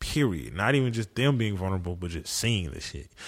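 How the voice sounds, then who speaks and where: A man's normal speaking voice with lively intonation at a fairly quick pace, on a very clean recording with a silent background. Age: 20s. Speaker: therapist at psych ward and rehab. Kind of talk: casual chat.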